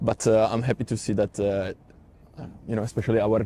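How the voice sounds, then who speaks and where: A man with an Italian accent speaks at a fairly low pitch in a dark, mellow tone, his intonation monotone and flat. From Italy. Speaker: Italian media worker. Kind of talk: interview. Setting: parliament building. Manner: halting.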